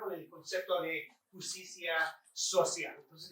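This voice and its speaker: Using a raised, projected voice, a man speaks at a fairly slow pace with a bright, sharp tone and a high pitch. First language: English (speaking Spanish). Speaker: professor. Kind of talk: lecture. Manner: halting.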